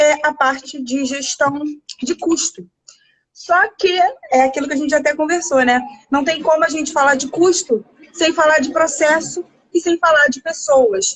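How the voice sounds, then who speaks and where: Lively intonation in a woman's high-pitched voice. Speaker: nutritionist and restaurant management consultant. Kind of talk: live video chat interview. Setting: home, live video call. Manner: animated.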